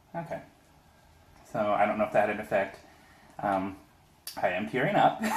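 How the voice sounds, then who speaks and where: Amid noticeable background noise, a man talks at a fairly quick pace broken by long, frequent pauses. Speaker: video host, pepper tasting. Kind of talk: casual chat.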